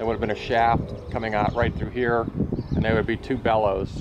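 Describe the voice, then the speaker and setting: Loud background noise surrounds a man whose speech runs at a fairly quick pace. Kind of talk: commentary. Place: open country. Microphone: phone near.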